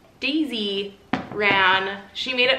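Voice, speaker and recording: A woman speaks at a medium pitch with ordinary pitch variation. Noticeable background noise and audible room echo surround her. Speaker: farm wife vlogger. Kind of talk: casual vlog narration. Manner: loud; chatty.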